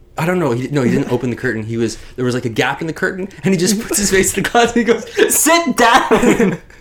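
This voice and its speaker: Over noticeable background noise, a man speaks very fast at a high pitch with very wide pitch swings. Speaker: podcast host discussing film and storytelling. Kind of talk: casual chat.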